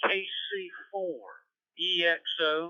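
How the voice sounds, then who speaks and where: A high-pitched male voice with fairly even intonation, dry with no echo, against a quiet background. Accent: Southern. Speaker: amateur radio operator; ham radio operator checking in. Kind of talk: radio net check-in. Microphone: two way radio.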